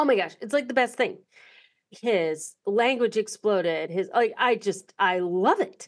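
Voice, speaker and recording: Delivered at a fairly slow pace, a normal speaking voice carries lively intonation. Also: woman, fairly high pitch for a woman. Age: 50s. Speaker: podcast host. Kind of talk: interview.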